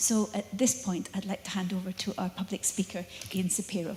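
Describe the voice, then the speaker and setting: With noticeable background noise behind her, a woman talks at a fairly quick pace, her medium pitch following a fairly even intonation. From northern England. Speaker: lecture series host. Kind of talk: formal introduction.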